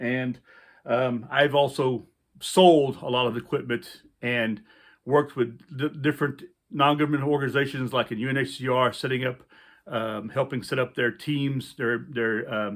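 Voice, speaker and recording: A moderate pace and fairly even intonation in a Louisiana accent. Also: man, medium pitch for a man. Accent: Louisiana Southern US. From US South, central Louisiana. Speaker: outdoor survival instructor, army veteran. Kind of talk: casual vlog talk to camera. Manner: halting, many fillers.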